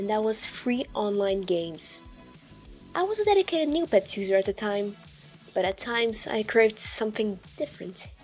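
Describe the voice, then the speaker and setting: Music plays in the background as a woman with a fairly high pitch talks at a moderate pace with ordinary pitch variation. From Portugal. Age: 20s. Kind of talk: storytime commentary narration.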